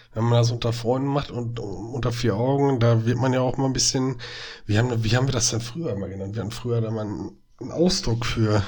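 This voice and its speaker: Very fast speech from a man at medium pitch with fairly even intonation, plus audible room echo and noticeable background noise. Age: 30s. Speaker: podcast co-host, educator. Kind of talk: casual chat.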